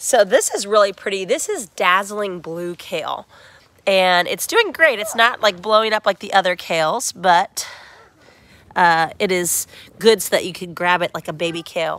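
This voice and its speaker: A woman talks at a moderate pace in an unremarkable speaking voice, medium in pitch with ordinary pitch variation. Her loudness swings widely. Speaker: small farmer. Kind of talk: casual video walkthrough. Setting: inside a hoop house greenhouse.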